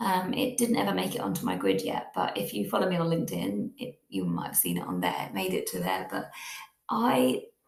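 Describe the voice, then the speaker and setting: This woman speaks at a fairly quick pace. Audible room echo surrounds her voice. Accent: British. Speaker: podcast host. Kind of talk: casual monologue.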